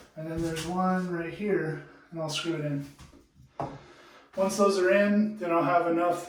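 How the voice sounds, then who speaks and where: A man speaks in a relaxed tone with a high pitch and monotone, flat intonation. The room echo is audible, and there is noticeable background noise. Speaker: DIY home improvement vlogger. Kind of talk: tutorial. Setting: in a bathroom at home. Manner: casual, relaxed.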